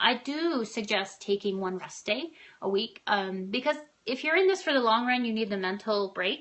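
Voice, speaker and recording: In an animated tone, a woman speaks with lively intonation and a fairly high pitch. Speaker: running and triathlon coach. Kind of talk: live-stream tutorial. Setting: live video broadcast. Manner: fast.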